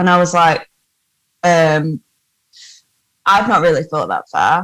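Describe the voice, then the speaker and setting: A woman with a northern English accent speaks at a fairly low pitch, the sound dry and close with no echo. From northern England. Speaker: actor-musician. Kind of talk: casual interview chat. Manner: animated.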